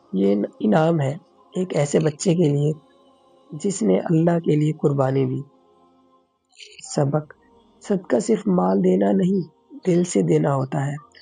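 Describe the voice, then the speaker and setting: Music plays in the background as a man speaks. His fairly high voice swings very widely in pitch. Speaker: voice-over artist. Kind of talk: children's moral story narration.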